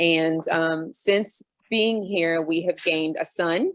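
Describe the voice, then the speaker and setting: A woman with an American accent has a normal speaking voice, a fairly low pitch, and fairly even intonation. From US, Army brat (US and Europe). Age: 40s. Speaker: expat panel guest. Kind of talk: casual panel discussion.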